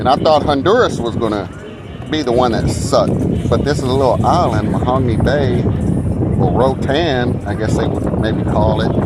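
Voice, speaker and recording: Over noticeable background noise and audible room echo, a man with an American accent speaks at medium pitch and a moderate pace, with ordinary pitch variation. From Texas, Dallas (South Oak Cliff). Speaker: cruise vlogger. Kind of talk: casual vlog monologue. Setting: outdoors at a cruise line's private island.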